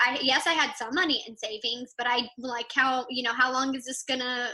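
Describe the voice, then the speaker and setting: A woman's high-pitched voice with a Texan accent. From Texas. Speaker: entrepreneur, PR company owner. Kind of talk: podcast interview. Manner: loud.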